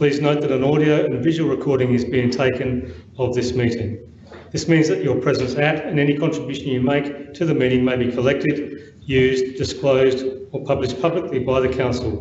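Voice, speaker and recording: A man talks at a fairly quick pace with fairly even intonation. Audible room echo and light background noise surround him. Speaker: council meeting officer. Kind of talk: formal procedural announcement. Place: hall. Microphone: podium.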